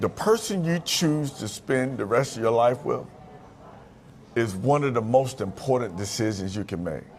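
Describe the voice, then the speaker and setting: A man speaks with lively intonation and an animated tone at a moderate pace. Music plays in the background. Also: medium pitch for a man. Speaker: motivational speaker. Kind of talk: interview. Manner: loud.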